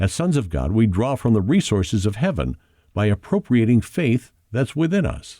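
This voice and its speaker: A man speaks at a moderate pace with a fairly low pitch and a dark, mellow tone, recorded very cleanly against a silent background. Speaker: audiobook narrator. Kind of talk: audiobook narration of a spiritual nonfiction book.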